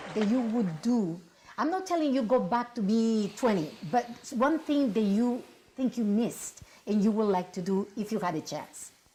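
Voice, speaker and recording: A woman talks at a moderate pace in a fairly high pitch with lively intonation. Noticeable background noise runs under her voice. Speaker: talk show host. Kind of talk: interview. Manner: high-spirited.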